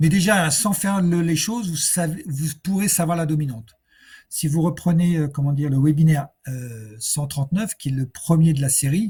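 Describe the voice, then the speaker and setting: A man's fairly high voice, dark and mellow in tone, with ordinary pitch variation. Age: 60s. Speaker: personal development coach. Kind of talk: webinar Q&A. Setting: online webinar. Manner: hesitant, many fillers; slow.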